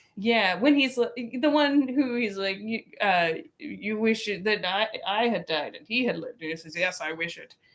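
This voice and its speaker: At a moderate pace, a woman with an unremarkable speaking voice talks at a fairly high pitch with lively intonation and big swings in loudness. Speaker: cooking livestream host. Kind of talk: casual livestream chat while cooking.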